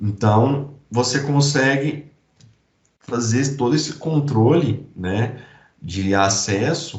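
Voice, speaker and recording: A very slow, somewhat breathy man with lively intonation, heard with audible room echo. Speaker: IT security specialist presenting a demo. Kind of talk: technical presentation.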